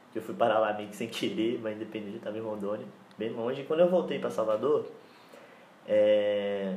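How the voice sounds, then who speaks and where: With lively intonation and a fairly low pitch, a man talks at a fairly quick pace broken by long, frequent pauses, amid noticeable background noise and audible room echo. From Bahia, Brazil. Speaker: podcast guest. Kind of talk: casual chat.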